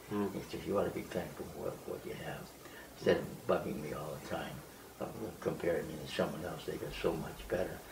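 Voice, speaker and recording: With an American accent, a man speaks at a fairly quick pace over noticeable background noise. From United States. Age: 80s+. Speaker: wandering sadhu. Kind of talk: interview answer. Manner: hesitant.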